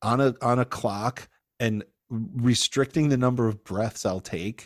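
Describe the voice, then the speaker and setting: In a very clean recording with a silent background and a dry, close sound with no echo, a man with a normal speaking voice speaks at a fairly slow pace, his medium pitch showing ordinary variation. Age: 50s. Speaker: stand-up comedian. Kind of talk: casual chat.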